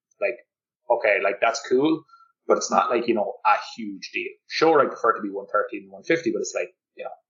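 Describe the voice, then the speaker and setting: Speaking with a Cork accent at a fairly quick pace, a man shows big swings in loudness. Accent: Cork Irish. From Ireland, Cork. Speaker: golf fitness coach. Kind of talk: podcast interview. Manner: animated, uses many fillers.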